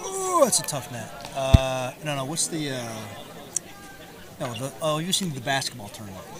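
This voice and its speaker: A soft-spoken man with a fairly high pitch, ordinary pitch variation, big swings in loudness and long, frequent pauses, amid audible room echo and crowd noise in the background. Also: moderate pace. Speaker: pro pickleball player, guest commentator. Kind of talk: casual chat during live commentary. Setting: commentator booth at a live match. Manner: quiet, soft-spoken. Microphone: speaks quietly, may need to be close to mic.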